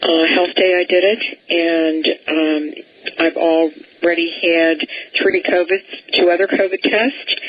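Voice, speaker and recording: A woman with a fairly low pitch talks at a very slow pace, with very even loudness, fairly even intonation and noticeable background noise. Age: 70s. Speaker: radio talk show host. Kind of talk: radio interview.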